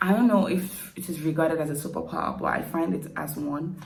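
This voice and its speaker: A woman speaks at a moderate pace in a Nigerian accent. Room echo can be heard. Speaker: YouTuber. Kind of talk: casual Q&A vlog. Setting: at home at night, quiet.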